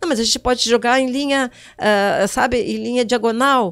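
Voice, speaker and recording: An animated woman's voice, high in pitch. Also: very clean recording, silent background. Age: 60s. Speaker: digital influencer. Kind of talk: interview.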